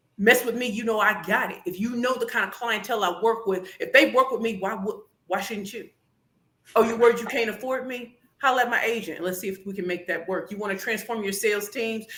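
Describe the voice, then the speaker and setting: A woman with an American accent speaks at a very fast pace in a fairly high pitch. Her tone is animated, bright and sharp. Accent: St. Louis accent tinged by Atlanta and DC. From St. Louis, Missouri. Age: 40s. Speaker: pitch coach and business founder. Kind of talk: podcast interview with demonstration pitches.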